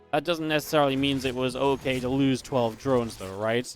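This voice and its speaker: Someone talks at a very fast pace in an animated tone, with music playing in the background. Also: man. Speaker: esports commentator. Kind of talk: live commentary.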